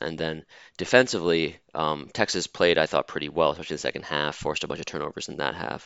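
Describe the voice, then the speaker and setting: Using vocal fry, a man with a very deep, low pitch talks at a fairly quick pace with fairly even intonation. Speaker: college basketball podcast host. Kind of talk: casual chat. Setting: video call. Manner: hesitant, many fillers.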